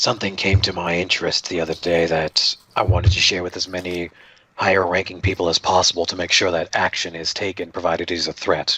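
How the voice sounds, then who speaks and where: Putting on a character voice, a man speaks very fast in a very deep, low, raspy pitch with monotone, flat intonation. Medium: actual play. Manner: polite, formal, inquisitive.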